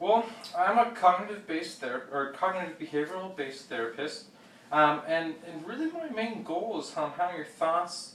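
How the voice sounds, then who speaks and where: Lively intonation and big swings in loudness come through over noticeable background noise and audible room echo. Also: man, high pitch for a man. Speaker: therapist in role-play. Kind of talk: role-play therapy session. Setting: office. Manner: fast.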